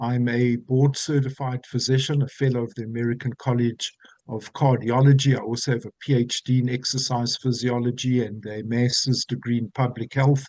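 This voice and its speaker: The man's voice sits at a medium pitch with monotone, flat intonation, moving at a moderate pace with hardly any pauses. The sound is dry and close, with no echo. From South Africa, Johannesburg. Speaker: physician and wellness program expert. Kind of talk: webinar presentation. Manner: formal.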